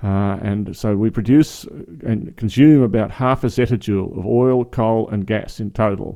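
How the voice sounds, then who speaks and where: A man with an Australian accent, fairly low in pitch and dark, mellow in tone, at a fairly slow pace with fairly even intonation against a quiet background. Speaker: podcast host. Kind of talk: interview discussion. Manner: hesitant, filler-heavy.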